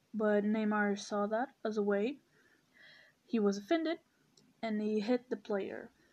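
Against a quiet background, a woman with fairly high pitch talks at a fairly slow pace, using ordinary pitch variation and long, frequent pauses. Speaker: podcaster. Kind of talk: solo commentary monologue.

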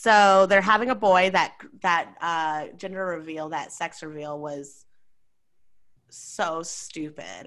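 A woman talks at a very slow pace in a fairly low pitch, with ordinary pitch variation and big swings in loudness. The recording is very clean, with a silent background. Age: 20s. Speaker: podcast co-host. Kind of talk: casual chat.

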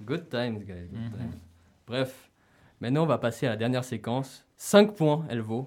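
A man's medium-pitched voice with lively intonation and big swings in loudness, at a moderate pace with long, frequent pauses, on a very clean recording with a silent background. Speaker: radio host. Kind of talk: casual radio talk show. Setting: radio studio. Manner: energetic.

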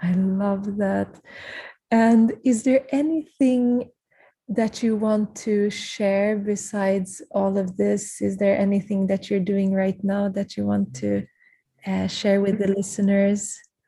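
At a very slow pace, a woman speaks at medium pitch with fairly even intonation. Her voice is somewhat breathy, with a dark, mellow tone. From Sweden. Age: 30s. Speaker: podcast host, yoga teacher. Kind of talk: casual chat. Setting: video call.

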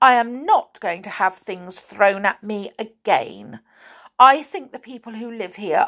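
An unforced reading voice with ordinary pitch variation against a quiet background

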